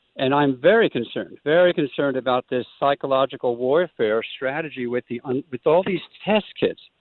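This man has an unremarkable speaking voice, pitched fairly high. He moves at a fairly quick pace with ordinary pitch variation. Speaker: caller. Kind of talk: call-in comment. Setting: phone call.

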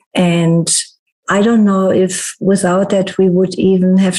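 Her voice is somewhat breathy, with a dark, mellow tone at a medium pitch, as this woman speaks. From Germany. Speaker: podcast host and holistic therapist. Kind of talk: casual interview chat.

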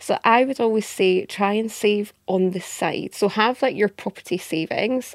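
A woman with an Edinburgh accent talks at a moderate pace and medium pitch, with ordinary pitch variation. The recording is very clean with a silent background and a dry, close sound with no echo. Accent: Scottish (Edinburgh), noticeable. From Edinburgh, Scotland. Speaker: mortgage industry adviser. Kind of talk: casual interview chat.

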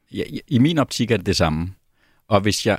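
A man with a fairly low pitch talks at a fairly quick pace. The recording is very clean with a silent background, and the sound is dry and close with no echo. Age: 50s. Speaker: mindfulness instructor. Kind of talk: interview. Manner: halting.

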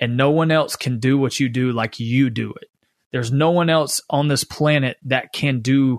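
At a fairly slow pace, a man with an American accent speaks in an unremarkable speaking voice, medium in pitch with fairly even intonation. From US South, Spartanburg, South Carolina. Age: 30s. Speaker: rock band drummer. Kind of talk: interview conversation. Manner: casual, filler-heavy speech.

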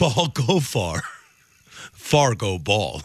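A man performs in a put-on character voice, his pitch swinging very widely. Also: medium pitch for a man. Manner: dim, halting.

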